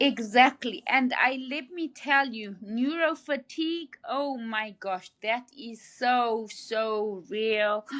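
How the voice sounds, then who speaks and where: A woman with a slight Zimbabwean accent speaks at a very slow pace, her pitch high and its variation ordinary. Her loudness swings widely, and she hardly pauses at all. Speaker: brain injury survivor. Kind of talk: interview. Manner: halting, repeats words.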